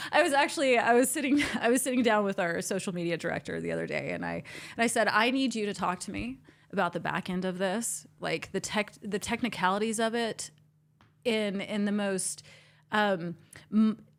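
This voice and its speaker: Fairly quick speech with vocal fry, on a very clean recording with a silent background. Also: woman, medium pitch for a woman, ordinary pitch variation. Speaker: entrepreneur and event planner. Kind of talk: casual interview chat. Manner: stuttering at times.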